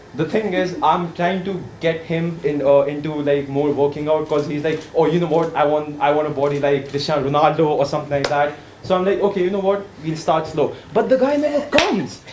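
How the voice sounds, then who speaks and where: A man with an Indian accent talks at a fairly quick pace with hardly any pauses, his pitch fairly high and his intonation fairly even. Audible room echo and noticeable background noise come through. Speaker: workshop participant. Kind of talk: impromptu speech exercise. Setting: workshop room with audience. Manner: hesitant, filler-heavy.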